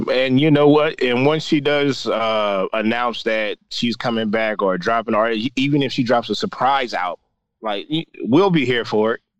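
A man with an unremarkable speaking voice talks at a medium pitch against a quiet background. His pace is moderate and his pitch varies in an ordinary way. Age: 30s. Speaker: podcast co-host. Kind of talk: casual chat.

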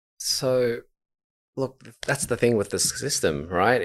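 A man speaks at a fairly slow pace in a very clean recording with a silent background. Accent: Australian. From Melbourne, Australia, Vietnamese background. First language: Vietnamese. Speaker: podcast co-host. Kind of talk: casual chat.

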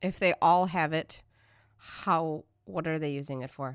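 A woman with a Michigan accent speaks at a very slow pace in a fairly low voice. The recording is very clean, with a silent background. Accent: Michigan, flat vowels. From Detroit, Michigan. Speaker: podcast host. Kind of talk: casual chat.

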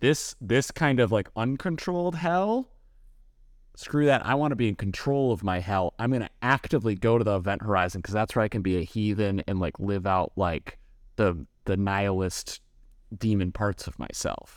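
A man with an American accent has a plain, everyday voice and a fairly low pitch. He talks at a moderate pace with lively intonation. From Los Angeles. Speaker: podcast host. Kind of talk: casual comedic chat. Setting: remote call between coasts.

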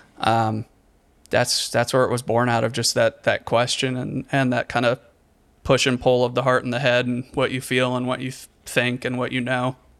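The man speaks at a moderate pace and a medium pitch. His intonation stays monotone and flat. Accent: American. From Richmond, Virginia, US South. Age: 30s. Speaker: musician, composer. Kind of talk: interview conversation.

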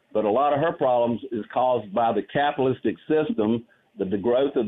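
A man with a Southern US accent talks fairly quickly. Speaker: caller. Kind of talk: casual chat. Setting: phone call.

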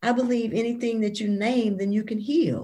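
A woman talks in a somewhat breathy voice. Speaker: author. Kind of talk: interview.

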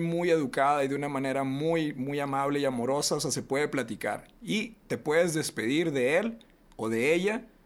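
Here is a man with an ordinary speaking voice, fairly high in pitch. He keeps a moderate pace with ordinary pitch variation. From Reynosa, northern Mexico. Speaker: podcast host. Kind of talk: casual chat.

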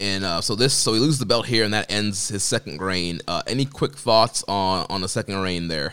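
A man's fairly low voice with a bright, sharp tone, on a very clean recording with a silent background. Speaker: podcast host. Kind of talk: casual chat.

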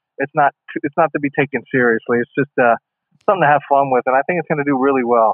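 A man with an American accent speaks at a very fast pace. His fairly high voice keeps a fairly even intonation. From small-town Ohio, US Midwest. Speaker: actor and wrestling performer. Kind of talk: casual interview chat. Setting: remote call, guest at home in Ohio.

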